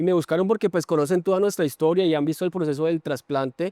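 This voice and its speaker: Talking at a very fast pace, a man has a fairly high pitch and a dark, mellow tone. His intonation is fairly even, and the sound is dry and close with no echo. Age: 20s. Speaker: transplant patient and athlete. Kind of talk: testimony in podcast conversation.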